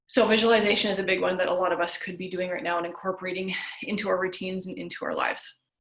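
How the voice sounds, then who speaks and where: The speech moves at a very fast pace with fairly even intonation. The room echo is audible. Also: woman, medium pitch for a woman. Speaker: health coach. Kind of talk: webinar lecture. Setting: video call.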